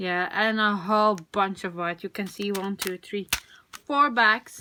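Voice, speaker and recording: A woman with a non-native accent speaks at a fairly slow pace with fairly even intonation. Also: medium pitch for a woman. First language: not English. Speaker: crafting video creator. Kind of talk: product unboxing, casual. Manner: hesitant, many fillers.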